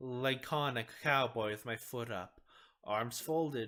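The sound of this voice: Pitch variation is ordinary. The reading voice sounds unforced.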